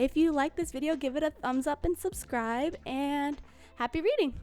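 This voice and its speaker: A woman's put-on character voice, high-pitched and mumbling, at a moderate pace over light background noise. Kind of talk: casual, video sign-off. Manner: mumbling, rushed.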